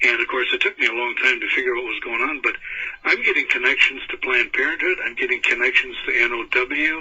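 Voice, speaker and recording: The speech runs fairly quickly, and noticeable background noise is present. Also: man. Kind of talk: radio interview.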